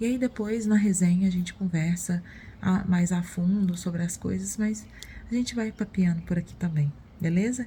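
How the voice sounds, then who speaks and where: Soft-spoken and somewhat breathy, a woman speaks in a fairly low, dark, mellow voice with fairly even intonation. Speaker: book vlogger. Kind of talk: casual vlog. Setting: at home in the morning. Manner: soft-spoken, quiet; hesitant, with fillers.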